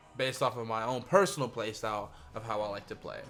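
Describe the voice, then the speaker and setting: A man's speech at a moderate tempo, with pitch that varies in an ordinary way, is set against background music. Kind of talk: casual gaming commentary. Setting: home studio.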